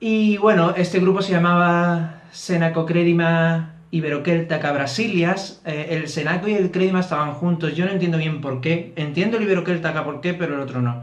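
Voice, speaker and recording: A man with an Andalusian accent speaks at a high pitch and a moderate pace, with fairly even intonation. Noticeable background noise and audible room echo are present. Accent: thick Andalusian (Barbate). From Andalusia, Barbate (Cádiz). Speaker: YouTuber on Celtic reconstructionist religion. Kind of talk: casual explanatory vlog. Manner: hesitant with fillers.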